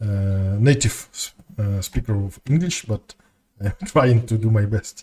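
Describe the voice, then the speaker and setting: Somewhat breathy, with a dark, mellow tone, a man speaks fairly slowly with ordinary pitch variation in a dry, close sound with no echo. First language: Russian. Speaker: game streamer. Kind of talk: casual chat. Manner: halting.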